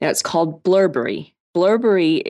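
A woman with an American accent talks in a normal speaking voice. Her pace is moderate, with ordinary pitch variation. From United States. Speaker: podcast co-host, business mentor. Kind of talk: casual chat.

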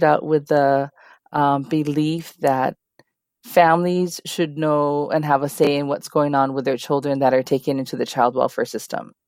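A woman with a Hawaiian accent, very deep, low pitch and moderate pace, in a dry, close sound with no echo on a very clean recording with a silent background. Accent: Hawaii English. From Hawaii (Kalihi, Honolulu). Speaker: nonprofit advocate. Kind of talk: interview.

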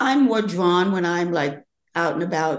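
A woman's voice with vocal fry. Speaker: fashion model and age activist. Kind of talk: casual interview chat.

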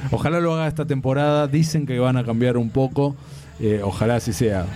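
Spoken at a fairly quick pace in an Argentine accent, the voice keeps a very even loudness and ordinary pitch variation, with noticeable background noise behind it. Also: man. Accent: Argentine Spanish (Rioplatense). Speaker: comics commentator, DC advocate. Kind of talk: casual panel debate.

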